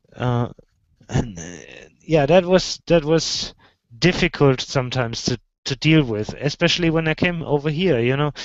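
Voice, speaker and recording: Speaking at a moderate pace with long, frequent pauses, a man with a German accent uses a fairly high pitch. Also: ordinary pitch variation. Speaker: video show host. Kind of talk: casual chat. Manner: halting, repetitive.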